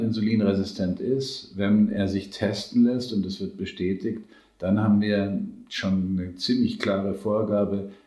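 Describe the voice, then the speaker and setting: A man's fairly low-pitched voice with a dark, mellow tone, fairly even intonation, a fairly slow pace and audible room echo. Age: 60s. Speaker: nutrition scientist. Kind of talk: interview. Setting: in person.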